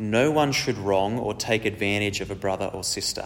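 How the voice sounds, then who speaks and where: A man keeps a moderate pace with ordinary pitch variation in an unremarkable speaking voice. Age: 30s. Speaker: preacher. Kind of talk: sermon.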